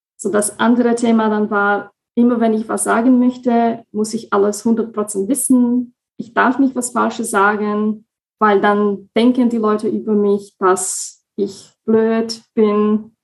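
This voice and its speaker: A woman speaks at a very slow pace with a Slovak accent. Her fairly high voice stays in a monotone, flat intonation. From Slovakia. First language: Slovak (speaking German). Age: 20s. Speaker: coaching client, project assistant. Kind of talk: interview.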